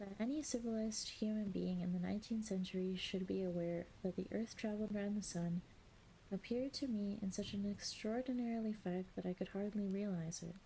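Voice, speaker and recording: A woman talks at a fairly quick pace in a normal speaking voice with fairly even intonation. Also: medium pitch for a woman. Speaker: streamer / ASMR reader. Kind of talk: ASMR audiobook reading of a classic novel. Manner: soft, calm reading voice.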